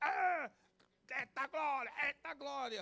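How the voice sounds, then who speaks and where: This is a put-on character voice, high-pitched, raspy and hoarse. It moves at a fairly slow pace. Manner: exclaiming in praise, mocking imitation.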